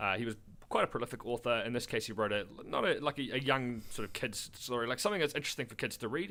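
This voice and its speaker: On a very clean recording with a silent background, a man speaks at a very fast pace in a medium pitch, his tone bright, sharp and animated. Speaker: podcast co-host. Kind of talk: casual chat.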